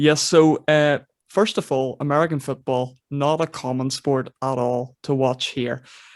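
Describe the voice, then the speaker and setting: In a very clean recording with a silent background and a dry, close sound with no echo, a man with a Northern Irish accent speaks fairly slowly at a fairly high pitch with fairly even intonation. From Northern Ireland. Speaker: podcast host. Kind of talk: casual chat.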